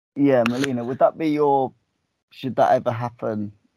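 A man's medium pitch and slightly mellow tone, with ordinary pitch variation at a moderate pace

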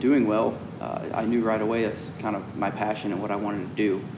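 A man's fairly low, flat, monotone voice at a fairly quick pace, with noticeable background noise and audible room echo. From US South, Georgia (Cumming). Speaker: professional off-road racer. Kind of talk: casual interview. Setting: race shop.

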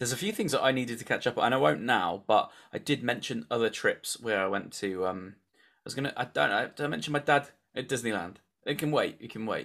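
At a very fast pace, a man speaks in a medium-pitched voice. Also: lively intonation. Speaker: podcast host. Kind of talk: casual chat between friends.

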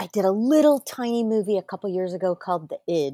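Speaking with an American accent, a woman uses a normal speaking voice, ordinary pitch variation and a moderate pace. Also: dry, close sound with no echo. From Manhattan Beach, California. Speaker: actress. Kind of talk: casual interview chat.

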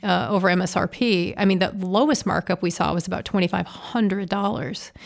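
A woman with an American accent, in an ordinary speaking voice at a fairly quick pace, on a very clean recording with a silent background. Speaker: car dealership executive and public speaker. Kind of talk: interview conversation. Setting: studio.

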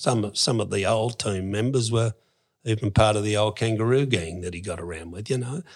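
A man with an Australian accent speaks at a fairly quick pace, his fairly low pitch moving with ordinary variation. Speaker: former criminal. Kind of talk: interview storytelling. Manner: casual.

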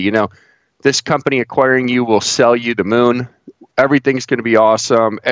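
With an American accent, a man speaks at a moderate pace in a plain, everyday voice of medium pitch, the sound dry and close with no echo. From northeast Ohio, near Cleveland. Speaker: investor and financial blogger. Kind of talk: casual interview.

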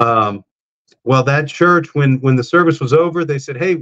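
In a South Texas accent, the speaker goes at a moderate pace with ordinary pitch variation and a dry, close sound with no echo. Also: man. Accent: South Texas American. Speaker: pro wrestler and preacher. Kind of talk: testimony. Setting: remote call from rural house.

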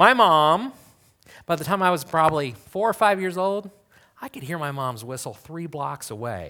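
In a very clean recording with a silent background, a man speaks at a moderate pace in a bright, sharp tone, with very wide pitch swings and big swings in loudness. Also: fairly high pitch for a man. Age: 40s. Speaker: pastor. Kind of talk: sermon.

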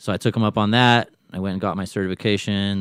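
A man speaks in a Californian accent. His pace is very fast. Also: very clean recording, silent background. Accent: Californian American English. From Southern California (Long Beach, Lakewood). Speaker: Air Force veteran. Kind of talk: casual chat. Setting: studio.

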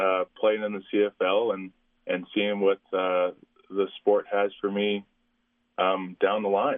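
A man with a Canadian accent speaks very slowly at a fairly low pitch, his intonation monotone and flat, with long, frequent pauses. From Saskatchewan, Canada. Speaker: university football player. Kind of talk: interview. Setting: phone call.

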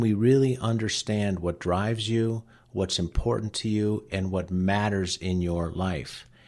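A man speaks at a fairly slow pace in a fairly low pitch, with ordinary pitch variation and a quiet background. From Cleveland, Ohio. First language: Latvian. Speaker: wealth manager. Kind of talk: radio interview.

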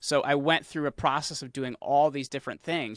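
In a very clean recording with a silent background and a dry, close sound with no echo, a man with a fairly high pitch talks at a fairly quick pace in an unremarkable speaking voice. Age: 30s. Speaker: podcast host and media entrepreneur. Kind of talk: casual interview chat.

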